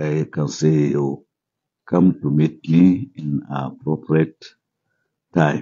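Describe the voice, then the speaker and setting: With a Nigerian accent, a man speaks very slowly in a very deep, low pitch, his intonation fairly even and broken by long, frequent pauses. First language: Hausa. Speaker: Islamic cleric. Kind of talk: formal welcome speech. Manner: formal.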